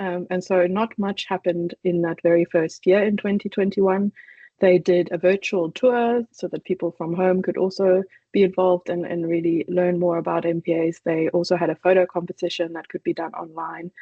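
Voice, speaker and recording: With a slight South African accent, a woman speaks at a fairly low pitch. Her intonation is monotone and flat. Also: moderate pace. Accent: faint South African. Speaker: conservation initiative coordinator. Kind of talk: online presentation.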